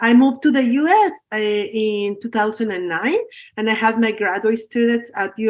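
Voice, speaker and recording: A woman's voice, fairly high in pitch, with ordinary pitch variation. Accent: Spanish. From Mexico. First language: Spanish. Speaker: professor. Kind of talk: lecture. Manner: halting.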